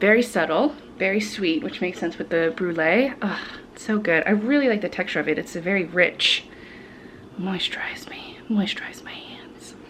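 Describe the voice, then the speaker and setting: A woman's medium-pitched voice at a moderate pace, with lively intonation, big swings in loudness and noticeable background noise. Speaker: vlogger. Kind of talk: casual vlog talk.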